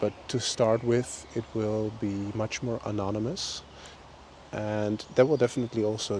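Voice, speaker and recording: Relaxed in tone, a man with a Dutch accent speaks fairly slowly in a fairly low pitch, his intonation monotone and flat. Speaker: vlogger. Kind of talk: casual monologue. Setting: outdoors on a walk.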